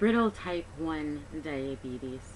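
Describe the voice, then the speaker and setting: At a very slow pace, a woman talks with lively intonation and a very deep, low pitch. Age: 30s. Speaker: patient advocate. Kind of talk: personal testimony appeal. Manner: hesitant with many fillers.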